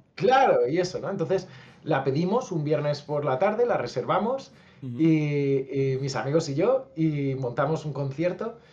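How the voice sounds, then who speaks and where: Here a man has an ordinary speaking voice with a fairly high pitch. He speaks at a fairly slow pace with lively intonation. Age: 30s. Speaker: musician and youtuber. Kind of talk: casual interview.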